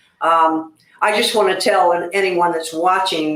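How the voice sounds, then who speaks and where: A woman with a fairly low voice speaks at a moderate pace while music plays in the background. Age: 60s. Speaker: former smoker, patient. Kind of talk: interview.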